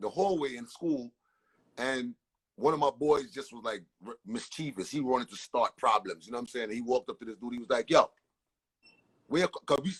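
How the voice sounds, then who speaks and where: A man talks fairly quickly at a medium pitch with ordinary pitch variation, with long, frequent pauses and big swings in loudness, in a dry, close sound with no echo. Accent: American. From Brooklyn, New York, Caribbean family. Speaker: entertainer. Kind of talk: casual interview storytelling. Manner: animated, repetitive stammering.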